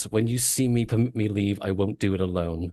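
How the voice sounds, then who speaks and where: Using a put-on character voice, a man talks at a fairly quick pace with a fairly low pitch for a man. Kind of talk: formal, archaic. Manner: imposing, otherworldly.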